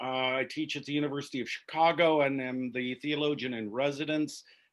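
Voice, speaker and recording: He uses a normal speaking voice, pitched fairly high for a man. His delivery keeps a moderate pace. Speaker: theology professor teaching a church class. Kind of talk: online class lecture. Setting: video call.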